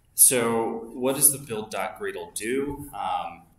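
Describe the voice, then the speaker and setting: Audible room echo surrounds a man as he talks. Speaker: coding instructor. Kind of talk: lecture. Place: home room. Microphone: webcam.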